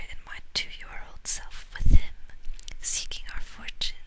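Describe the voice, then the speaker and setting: A woman is whispering. Her speech stays at a whisper. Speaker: ASMR audiobook reader. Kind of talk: audiobook reading, ASMR. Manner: whispered, soft-spoken.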